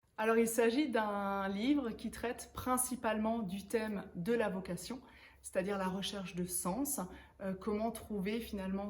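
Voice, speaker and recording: With audible room echo, a woman of medium pitch and a somewhat breathy voice speaks at a fairly slow pace with ordinary pitch variation. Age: 30s. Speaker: author and professional coach. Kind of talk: interview-style book presentation. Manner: hesitant, frequent filler words.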